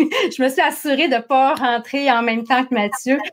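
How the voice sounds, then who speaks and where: A woman speaks with a Saguenay accent. Her high-pitched voice moves at a fairly slow pace. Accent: Saguenay Quebec French. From Quebec, Saguenay-Lac-Saint-Jean. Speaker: entrepreneur, marketing and HR consultant. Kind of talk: interview. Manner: animated.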